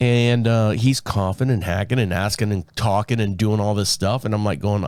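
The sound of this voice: At a moderate pace, a man speaks with a raspy, slightly mellow voice at fairly low pitch.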